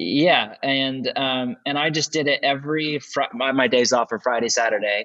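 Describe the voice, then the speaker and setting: Here a man has a plain, everyday voice, pitched fairly high with ordinary variation. He keeps a moderate pace with hardly any pauses. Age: 40s. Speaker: pastor and author. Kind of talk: podcast interview.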